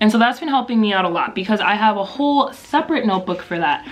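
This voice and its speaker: A woman speaks with lively intonation. Noticeable background noise runs underneath. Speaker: YouTube vlogger. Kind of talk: casual vlog tutorial. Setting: filming at home at night. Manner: fast.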